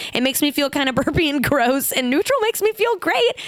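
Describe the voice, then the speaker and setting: Over noticeable background noise, a woman with a high pitch speaks in an animated tone at a fairly quick pace, her pitch swinging very widely. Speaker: podcast host. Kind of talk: casual chat. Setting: studio.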